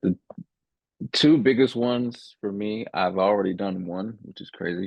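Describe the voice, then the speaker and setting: A man with a slight Southern US accent, fairly low in pitch and fairly slow, with lively intonation, big swings in loudness, and long, frequent pauses. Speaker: podcast host. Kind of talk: casual chat.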